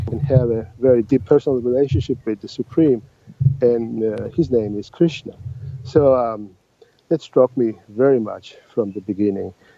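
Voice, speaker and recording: Fairly even intonation and a moderate pace mark a man speaking with a Georgian accent. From Georgia (Tbilisi). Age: 50s. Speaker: translator and oncologist. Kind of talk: interview. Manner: halting.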